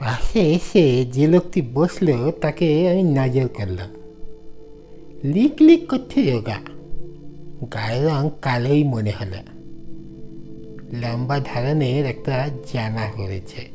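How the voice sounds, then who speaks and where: Over clear background music, a put-on character voice at a low-to-middle pitch moves at a fairly slow pace. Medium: audio drama.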